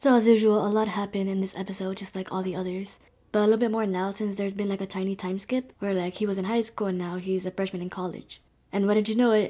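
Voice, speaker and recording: A very fast, dark and mellow voice in monotone, flat intonation over a quiet background. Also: woman. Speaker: anime reaction youtuber. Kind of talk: commentary. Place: home room. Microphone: webcam.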